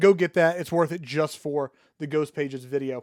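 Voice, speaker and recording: With a dry, close sound and no echo, a man talks at a fairly high pitch and a fairly quick pace with ordinary pitch variation. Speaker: online marketer. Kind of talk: casual solo talk to camera. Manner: fast.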